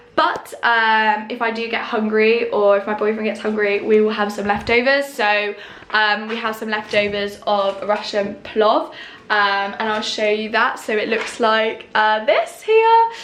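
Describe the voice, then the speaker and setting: Over noticeable background noise, a woman with a British accent speaks at a moderate pace with a fairly high pitch and fairly even intonation. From United Kingdom. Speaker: online English teacher and voiceover artist. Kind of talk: casual vlog talk to camera.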